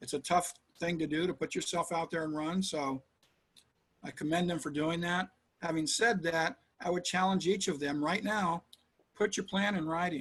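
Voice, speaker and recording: This man's voice is high-pitched with ordinary pitch variation. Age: 60s. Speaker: city council candidate. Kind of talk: interview.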